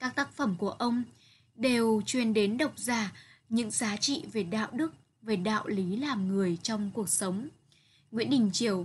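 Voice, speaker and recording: Over a quiet background, a woman with a plain, everyday voice speaks fairly slowly at a fairly high pitch with ordinary pitch variation. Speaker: literature teacher. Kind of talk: lecture.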